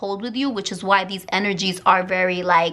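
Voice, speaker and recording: A woman's voice at a moderate pace, with ordinary pitch variation and noticeable background noise. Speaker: tarot reader. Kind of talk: tarot reading monologue. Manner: animated.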